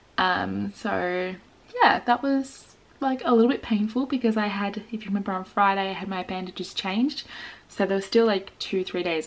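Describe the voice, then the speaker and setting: A woman speaks quietly in an Australian accent. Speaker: vlogger. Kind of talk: casual vlog.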